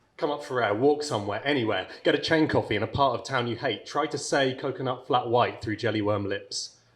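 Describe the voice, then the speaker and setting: A somewhat breathy man talks at a fairly quick pace in a medium pitch, with ordinary pitch variation and hardly any pauses. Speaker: spoken word poet. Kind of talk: poetry reading.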